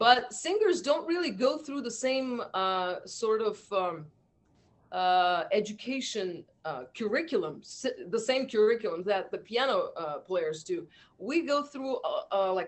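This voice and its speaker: At a fairly slow pace, a woman with a fairly high pitch speaks in very wide pitch swings. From Azerbaijan. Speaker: musician. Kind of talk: interview. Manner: halting.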